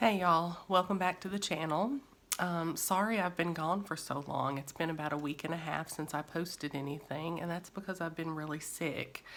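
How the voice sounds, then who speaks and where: A woman with a strong Kentucky accent, fairly low in pitch, at a moderate pace with ordinary pitch variation. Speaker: therapist. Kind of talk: educational talk. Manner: frequent fillers and false starts.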